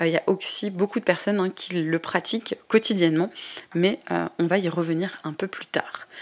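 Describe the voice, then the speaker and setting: Her intonation is fairly even. The woman talks at a moderate speed. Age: 20s. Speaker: podcast host, tarot reader. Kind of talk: casual podcast monologue. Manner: hesitant, many filler sounds.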